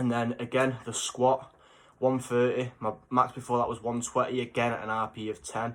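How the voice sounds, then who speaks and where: A man talks at a medium pitch with an English accent. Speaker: fitness vlogger. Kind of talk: casual vlog. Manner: animated.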